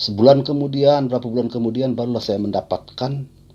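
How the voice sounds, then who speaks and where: Pitched in the middle of the male range, a man talks at a medium speed, his intonation varying in an ordinary way. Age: 60s. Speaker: poet. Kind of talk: talk on own creative process. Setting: video call. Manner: halting.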